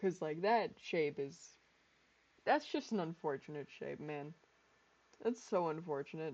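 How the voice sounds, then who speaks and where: The speech comes at a fairly slow pace, broken by long, frequent pauses. The voice is loud. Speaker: gaming streamer. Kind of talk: live gameplay stream chat. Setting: home, streaming with headphones. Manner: animated.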